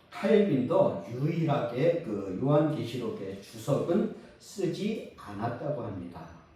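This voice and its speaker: This man's fairly high voice swings very widely in pitch as he speaks very slowly, with room echo and noticeable noise behind him. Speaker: preacher. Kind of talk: sermon.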